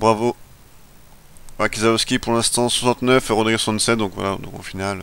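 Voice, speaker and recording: At a very slow pace and with long, frequent pauses, a man speaks with a medium pitch. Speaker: gaming video creator. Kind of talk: let's play commentary. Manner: halting, stumbling over words; casual, animated.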